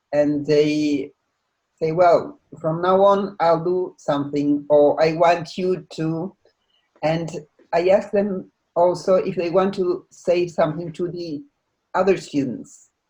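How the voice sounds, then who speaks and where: With music in the background, a woman talks at a very slow pace, leaving long, frequent pauses, her pitch varying in an ordinary way. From Uruguay. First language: Spanish. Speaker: playback theatre practitioner, conductor. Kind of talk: presentation in an online think tank session. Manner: halting, with many fillers and restarts.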